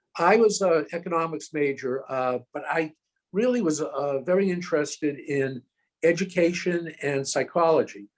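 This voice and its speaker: Using an American accent, a man talks at a moderate pace with a high pitch and ordinary pitch variation. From Massachusetts, Boston area (Newton). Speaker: college president and donor. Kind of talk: interview. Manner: hesitant, frequent fillers.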